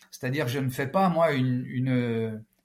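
Somewhat breathy, a man talks at a moderate pace with lively intonation. The recording is very clean, against a silent background. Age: 50s. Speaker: former police tactical officer, speaker. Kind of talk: interview.

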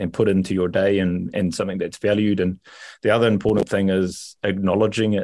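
A fairly quick pace and fairly even intonation in a New Zealand accent, on a very clean recording with a silent background. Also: man. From New Zealand, Rotorua. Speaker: rugby coach and culture manager. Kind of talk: interview. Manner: halting.

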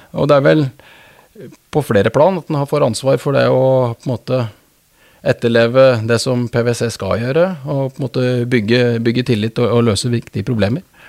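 Recorded very cleanly with a silent background and a dry, close sound with no echo, a man with an eastern Norwegian accent speaks at a moderate pace, medium in pitch with ordinary pitch variation. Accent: Toten dialect. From Norway, Østre Toten (Oppland). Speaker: business partner in mergers and acquisitions. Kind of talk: interview. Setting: studio. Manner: halting, frequent repetitions.

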